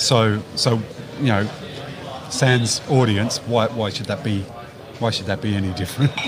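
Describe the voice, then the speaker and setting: With an Australian accent, a man speaks at medium pitch and a moderate pace, his intonation fairly even. Long, frequent pauses break up his speech amid noticeable background noise. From Whyalla, South Australia. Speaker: football supporters club chairman. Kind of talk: casual chat. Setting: pub, live stream.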